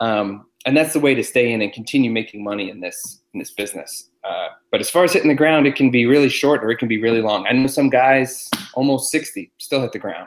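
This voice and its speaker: With an American accent, a man speaks at a medium pitch and a fairly quick pace in an ordinary speaking voice with ordinary pitch variation. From Massachusetts. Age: 30s. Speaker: stuntman. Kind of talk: casual chat.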